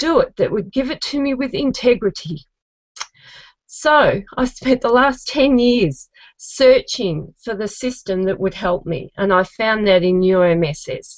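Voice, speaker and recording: A woman's fairly high voice in an Australian accent at a fairly slow pace. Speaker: genealogist, contest finalist. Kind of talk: contest pitch video testimony.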